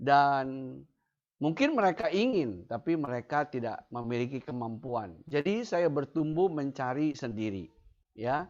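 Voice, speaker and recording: Fairly slow, fairly high male speech with lively intonation over a quiet background. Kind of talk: testimony. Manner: halting, with fillers.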